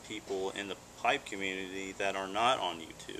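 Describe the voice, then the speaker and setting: Noticeable background noise runs behind a man's voice. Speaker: pipe reviewer. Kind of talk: casual vlog chat. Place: garden. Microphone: camera far.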